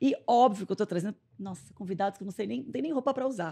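Over a quiet background, a woman talks at a very fast pace in an animated tone with ordinary pitch variation. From Brazil, Santo André (São Paulo); São Paulo, Brazil. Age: 40s. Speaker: podcast host and entrepreneur; podcast host. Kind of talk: casual chat. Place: studio. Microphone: studio mic.

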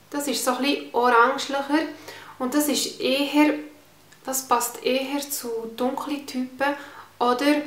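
Audible room echo surrounds a woman speaking with a Swiss German accent and fairly even intonation. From Switzerland. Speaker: beauty vlogger. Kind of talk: casual talk to camera, product review. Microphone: phone near.

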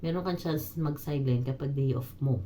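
A woman's very deep, low pitch, somewhat breathy, with a dark, mellow tone, lively intonation and a moderate pace. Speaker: domestic helper and vlogger. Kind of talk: casual vlog monologue.

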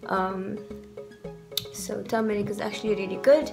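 Clear music plays in the background. A woman speaks at a medium pitch. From South Africa. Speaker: beauty vlogger. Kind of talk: casual talk to camera. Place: home room. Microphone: phone near.

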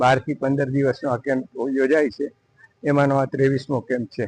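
A man speaks at a fairly high pitch in a monotone, flat intonation. The sound is dry and close, with no echo. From Gujarat, Saurashtra (Upleta). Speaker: doctor. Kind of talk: interview statement.

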